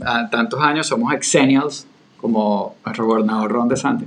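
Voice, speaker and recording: There is noticeable noise in the background. The speech moves at a moderate pace. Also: man. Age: 40s. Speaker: podcast co-host. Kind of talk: casual conversational discussion.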